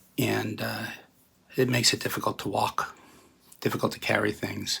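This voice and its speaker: The man talks at a moderate pace. Noticeable background noise is present. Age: 60s. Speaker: contest entrant, guitarist. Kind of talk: video submission monologue.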